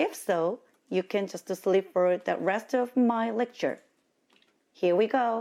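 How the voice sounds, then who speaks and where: Speaking at a very slow pace with long, frequent pauses, this voice has a dark, mellow tone, a Korean accent, ordinary pitch variation and very even loudness on a very clean recording with a silent background. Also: woman, medium pitch for a woman. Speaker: diversity consultant and lecturer. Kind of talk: lecture. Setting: university lecture hall with audience.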